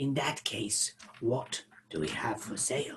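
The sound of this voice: A man puts on a character voice of medium pitch. He delivers it at a fairly slow pace.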